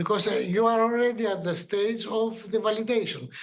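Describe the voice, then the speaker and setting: A high-pitched man's voice at a moderate pace. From Greece. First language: Greek. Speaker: regulatory consultant and medical doctor. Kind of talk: workshop presentation. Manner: halting, many fillers.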